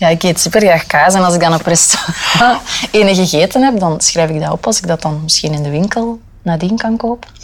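The speech is very fast, in a Flemish accent. Background noise is noticeable. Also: woman, fairly low pitch for a woman, ordinary pitch variation. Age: 20s. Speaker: radio reporter. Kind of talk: casual chat.

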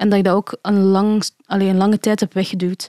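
On a very clean recording with a silent background and a dry, close sound with no echo, a woman speaks in a medium pitch with a dark, mellow tone and monotone, flat intonation. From Belgium (adopted from China as infant). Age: 20s. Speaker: illustrator and graphic designer, adoptee. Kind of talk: casual interview conversation.

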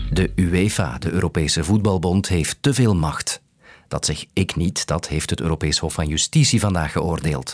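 A man's very deep, low voice at a moderate pace with ordinary pitch variation, dry and close with no echo. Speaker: news podcast host. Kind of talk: scripted narration.

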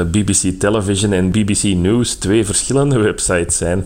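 Fairly even intonation at a moderate pace, with audible room echo and noticeable background noise. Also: man. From Flanders. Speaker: fact-checker. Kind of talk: phone interview.

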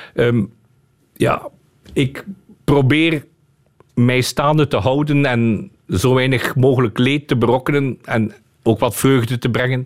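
His intonation is fairly even, at a medium pitch. The man talks at a fairly slow pace. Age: 50s. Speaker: lawyer. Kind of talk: radio interview.

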